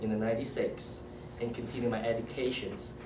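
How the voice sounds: In a Malaysian accent, a man speaks. The room echo is audible.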